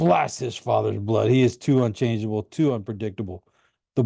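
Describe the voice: Plain reading aloud with fairly even intonation comes through against a quiet background.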